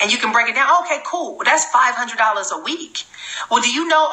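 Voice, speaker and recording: Noticeable background noise sits behind a woman speaking in an animated tone with lively intonation. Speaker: network marketing trainer. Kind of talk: live sales training. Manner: fast.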